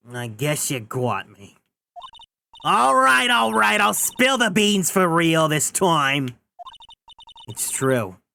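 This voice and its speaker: A man's put-on character voice, fairly high and very slow, with very wide pitch swings, big swings in loudness, and long, frequent pauses. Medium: virtual streamer. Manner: stammering, hesitant.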